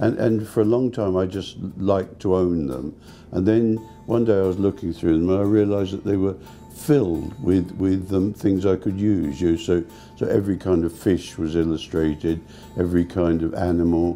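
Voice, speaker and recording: A man speaks with an English accent at a moderate pace, his pitch very deep and low. Pitch variation is ordinary, and music plays in the background. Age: 70s. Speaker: pop artist, painter. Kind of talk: interview answer. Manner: hesitant, repeats words.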